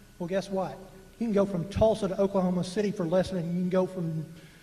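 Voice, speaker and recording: A man with an American accent talks at a fairly quick pace in a high pitch. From North Texas (Dallas County). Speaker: public meeting speaker. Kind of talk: public comment. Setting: public meeting with microphone. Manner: animated.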